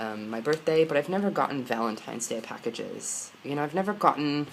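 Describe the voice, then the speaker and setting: Noticeable background noise accompanies a man whose American accent carries lively intonation. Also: fairly high pitch for a man, fairly quick pace. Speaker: vlogger. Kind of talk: personal vlog. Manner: halting.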